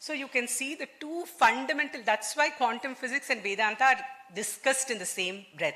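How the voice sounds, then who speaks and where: A woman with a Telugu accent uses a raised, projected voice at a high pitch, with big swings in loudness. She speaks at a moderate pace with ordinary pitch variation. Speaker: engineer and quantum physicist, conference speaker. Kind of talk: conference talk. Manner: formal.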